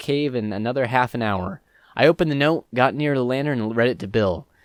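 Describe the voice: A plain reading-aloud delivery with ordinary pitch variation.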